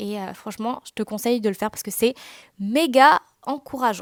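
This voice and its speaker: A woman talks at a moderate pace with ordinary pitch variation. The sound is dry and close with no echo, on a very clean recording with a silent background. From Réunion. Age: 20s. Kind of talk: casual podcast monologue. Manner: casual, with many fillers.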